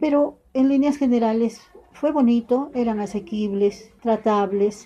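A woman with a dark, mellow tone sounds somewhat breathy, using ordinary pitch variation. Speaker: retired teacher. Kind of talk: interview.

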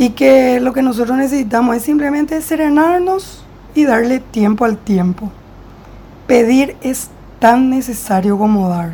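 This woman talks fairly slowly, her high-pitched voice carrying lively intonation. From Paraguay. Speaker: clinical psychologist. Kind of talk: interview, explanatory. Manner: formal.

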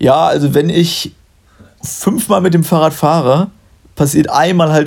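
A man's fairly high-pitched voice with ordinary pitch variation, a plain, everyday voice. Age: 20s. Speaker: podcast host. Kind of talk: casual chat.

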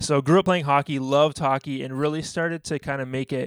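Recorded very cleanly against a silent background, with a dry, close sound and no echo, a man with a Canadian accent and an unremarkable speaking voice talks at a fairly high pitch and a fairly quick pace with fairly even intonation. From Canada. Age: 30s. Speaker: youth pastor and former athlete. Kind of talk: interview.

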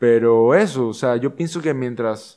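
A man's ordinary speaking voice at a fairly slow pace, with ordinary pitch variation. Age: 20s. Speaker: actor, rugby player and show host. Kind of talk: interview, casual chat.

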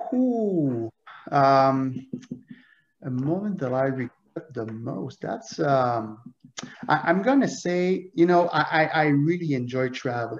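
A man's fairly high voice in a French Canadian accent, with lively intonation, a very slow pace, and long, frequent pauses. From Quebec, Montreal. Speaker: author and loss prevention manager. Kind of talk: interview conversation. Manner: halting.

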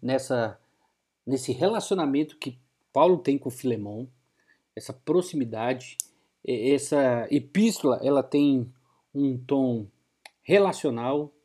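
This man talks at a very slow pace. His fairly high pitch carries a dark, mellow tone. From Brazil, Bahia (Vitória da Conquista). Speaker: pastor. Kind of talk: radio sermon.

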